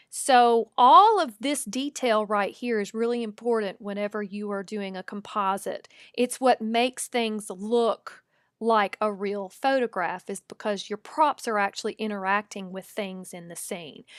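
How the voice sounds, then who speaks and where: A woman with a Southern US accent speaks fairly slowly at a fairly high pitch, with ordinary pitch variation and big swings in loudness, in a dry, close recording with no echo that is very clean over a silent background. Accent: Southern US accent, noticeable. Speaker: photographer and digital artist. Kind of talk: tutorial. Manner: casual, conversational.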